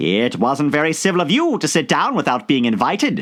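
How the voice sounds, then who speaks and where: Someone puts on a character voice and talks at a fairly quick pace. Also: man, fairly high pitch for a man. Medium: read story.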